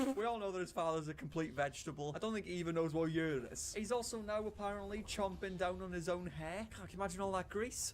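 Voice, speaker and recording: The speaker has a Welsh accent and an animated tone, talking at a fairly quick pace. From Wales. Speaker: commentary streamer. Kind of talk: reaction commentary.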